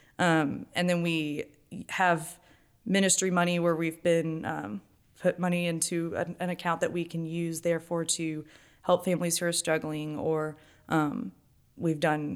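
A woman speaks with an unremarkable speaking voice. Her pitch is fairly low and her intonation fairly even. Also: very clean recording, silent background. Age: 20s. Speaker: stay-at-home mother and church volunteer. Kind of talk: casual interview testimony.

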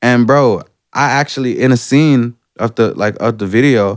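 A man in an Atlanta accent talks with fairly even intonation. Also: very clean recording, silent background. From Atlanta, US South. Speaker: rapper. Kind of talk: casual chat.

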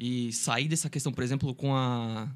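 A man speaks in an ordinary speaking voice at a medium pitch with ordinary pitch variation. The recording is very clean, with a silent background. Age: 20s. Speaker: law student, volunteer group member. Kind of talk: casual chat.

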